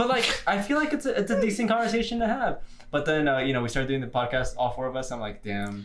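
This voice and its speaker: A man speaks at a very fast pace. His pitch is fairly high and swings very widely. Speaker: podcast co-host. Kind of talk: casual banter. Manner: stuttering, mispronounces words.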